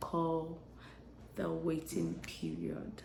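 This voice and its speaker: Soft-spoken and very slow, a woman talks with audible room echo around her. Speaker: lifestyle vlogger. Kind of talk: casual vlog monologue. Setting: home, early morning. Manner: hesitant.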